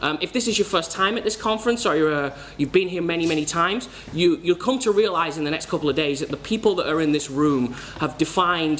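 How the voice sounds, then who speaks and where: Noticeable noise sits behind a man with a fairly high pitch. He talks fairly quickly with lively intonation. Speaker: conference speaker. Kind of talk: conference talk. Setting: stage with audience.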